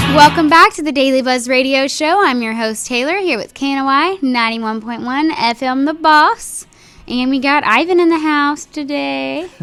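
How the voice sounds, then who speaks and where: A high-pitched woman with lively intonation and music in the background. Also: moderate pace. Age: 20s. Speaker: radio host. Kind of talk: casual chat.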